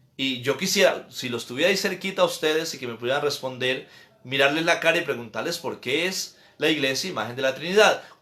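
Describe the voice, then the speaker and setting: At a very fast pace, a man speaks in a fairly high voice with ordinary pitch variation and audible room echo. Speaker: priest. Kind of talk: catechesis lecture.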